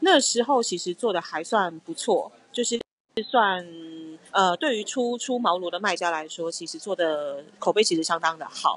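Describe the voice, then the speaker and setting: This woman has an unremarkable speaking voice, medium in pitch, with lively intonation at a moderate pace. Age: 30s. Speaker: skincare brand founder. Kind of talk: interview conversation.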